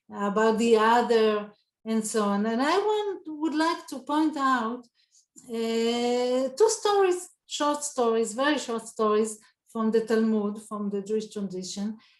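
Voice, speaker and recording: A woman speaks in an Israeli accent at a fairly slow pace. Her pitch is fairly high, with ordinary variation. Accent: Israeli Hebrew. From Israel, southern kibbutz. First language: Hebrew. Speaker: Talmud scholar. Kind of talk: panel talk. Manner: halting.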